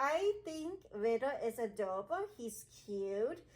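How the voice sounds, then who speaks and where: A woman talks with very wide swings in pitch. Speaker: gaming video creator. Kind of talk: casual vlog commentary. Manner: loud. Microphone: muffled by face mask.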